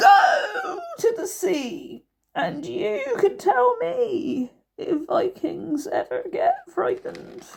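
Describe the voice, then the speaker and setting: Extremely high and wheezy, a woman's put-on character voice at a very slow pace. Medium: read story. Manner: slow, wise.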